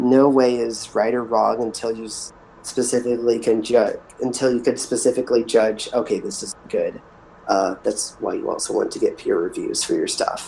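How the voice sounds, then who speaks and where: A man keeps a moderate pace while noticeable background noise runs beneath him. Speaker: hypnotist. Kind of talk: workshop discussion.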